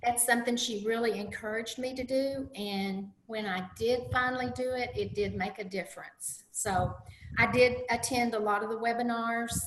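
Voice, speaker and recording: A woman talks at a moderate pace with a fairly high pitch. Noticeable background noise can be heard. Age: 60s. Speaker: diet coaching client. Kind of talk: interview.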